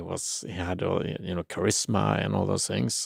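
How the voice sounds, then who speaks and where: The speaker has a non-native accent, vocal fry and a fairly slow pace. The recording is very clean with a silent background and a dry, close sound with no echo. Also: man. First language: not English. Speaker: spirituality channel host. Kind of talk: livestream commentary. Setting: live stream. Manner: halting, many fillers and repeats.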